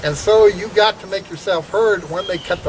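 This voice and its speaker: A high-pitched man talks over noticeable background noise. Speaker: pastor and fringe political candidate. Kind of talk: rambling video monologue. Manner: halting, many fillers.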